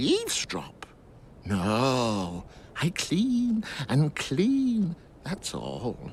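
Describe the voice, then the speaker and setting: A man uses a put-on character voice at a very slow pace, with long, frequent pauses. Clear background noise is heard behind him. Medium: video game. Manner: giggly, evasive.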